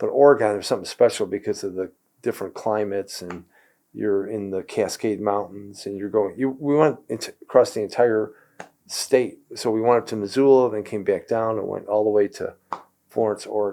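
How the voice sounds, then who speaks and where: Fairly quick and fairly even in intonation, a man talks in a dark, mellow tone. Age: 70s. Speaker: podcast guest, host's father. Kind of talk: casual chat. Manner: halting, many restarts.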